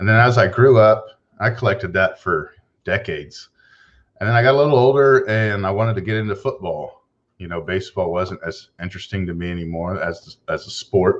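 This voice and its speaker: Heard over a quiet background, an ordinary speaking voice goes at a fairly quick pace with ordinary pitch variation. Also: man, fairly low pitch for a man. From Texas. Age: 40s. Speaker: card collector and YouTuber. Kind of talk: casual chat.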